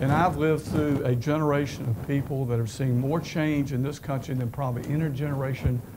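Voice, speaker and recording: The speaker has a North Carolina accent, a moderate pace and ordinary pitch variation. Room echo is audible, and background noise is noticeable. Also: man. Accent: Southern US (North Carolina). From US South, eastern North Carolina. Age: 70s. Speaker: retired business executive. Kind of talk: lecture.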